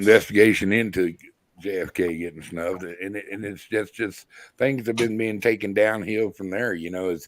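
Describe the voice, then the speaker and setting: A man's unremarkable speaking voice, fairly low in pitch, with big swings in loudness, a moderate pace and fairly even intonation. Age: 60s. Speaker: live stream guest. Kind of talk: casual chat.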